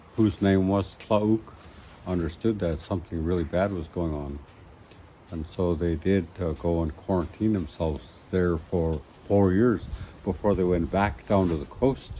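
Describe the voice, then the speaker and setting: A man's very deep, low voice carries a dark, mellow tone and ordinary pitch variation. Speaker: elder and master carver. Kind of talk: traditional oral storytelling. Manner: slow, reflective, with hesitations.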